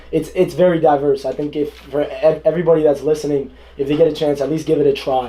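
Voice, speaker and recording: Monotone and flat, a man's voice comes through. He speaks at a very fast pace. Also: fairly high pitch for a man. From South Florida, US (Pembroke Pines), Indian family. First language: Hindi. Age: 20s. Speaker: entrepreneur and vlogger, interviewee. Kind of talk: radio interview. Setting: radio studio. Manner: casual, halting with many repetitions.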